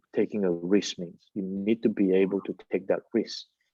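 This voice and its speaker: This man has a non-native accent and a fairly low pitch. He keeps a moderate pace with fairly even intonation. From Malaysia. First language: not English. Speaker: plastic surgeon. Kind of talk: interview.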